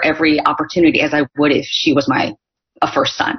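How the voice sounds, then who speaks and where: A woman speaks with a General American accent. Her pitch swings very widely, and her pace is fairly quick. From US, Northern California. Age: 40s. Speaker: author and speaker. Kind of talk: casual interview. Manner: animated.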